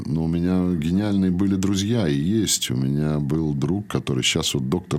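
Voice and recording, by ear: A man delivers his lines in a theatrical tone at a moderate pace, with ordinary pitch variation.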